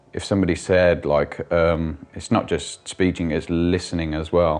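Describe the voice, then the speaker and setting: A man speaks in a very deep, low voice. The intonation stays monotone and flat. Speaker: stroke survivor with aphasia, business owner. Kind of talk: interview testimony. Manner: halting, many fillers and restarts; word-finding pauses.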